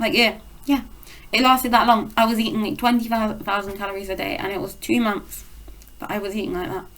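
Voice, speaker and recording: The speaker talks at a fairly quick pace with a British accent. The intonation stays fairly even. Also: woman, fairly high pitch for a woman. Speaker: eating disorder recovery vlogger. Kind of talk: casual vlog monologue. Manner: fast.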